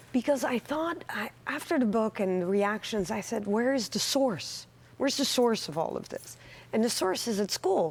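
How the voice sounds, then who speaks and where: A woman with a Dutch accent, her fairly high pitch carried by lively intonation. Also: moderate pace. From Netherlands. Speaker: author and anti-bullying advocate. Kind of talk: TV interview.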